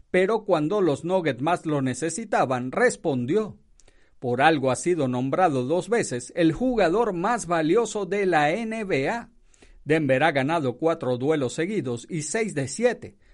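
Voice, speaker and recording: Against a quiet background, a man talks fairly slowly in an unremarkable speaking voice, fairly high-pitched with lively intonation. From Venezuela. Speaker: radio news journalist. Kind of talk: news reading; casual radio commentary.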